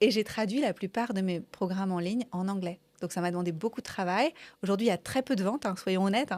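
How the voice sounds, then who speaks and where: Very fast speech with ordinary pitch variation, on a very clean recording with a silent background and a dry, close sound with no echo. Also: woman, medium pitch for a woman. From France. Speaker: coach. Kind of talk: interview conversation. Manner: enthusiastic.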